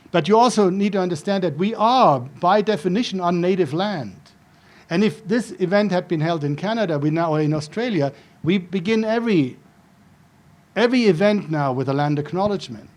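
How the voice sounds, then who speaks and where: Talking at a fairly quick pace with a German accent, a man uses a high pitch and lively intonation. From Germany (Frankfurt suburb). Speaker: professor. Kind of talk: lecture.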